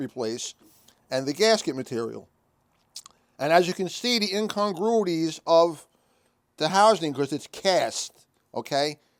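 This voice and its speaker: His intonation rises and falls in a lively way. The man keeps a moderate pace. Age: 60s. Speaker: transmission technician. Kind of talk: tutorial. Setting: workshop. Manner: casual, frequent "okay" fillers.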